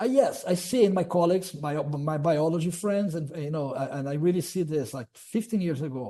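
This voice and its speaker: A man's high-pitched voice at a fairly quick pace, with hardly any pauses and ordinary pitch variation. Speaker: archaeology professor. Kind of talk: webinar Q&A answer. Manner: fast; halting, repeats words.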